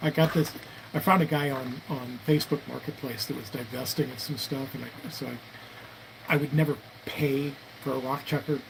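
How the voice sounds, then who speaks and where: Noticeable background noise sits behind a man speaking at medium pitch. His pace is moderate and his intonation fairly even. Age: 60s. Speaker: firearms reloading and 3D printing hobbyist streamer. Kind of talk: casual live stream chat. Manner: halting, many fillers and repeats.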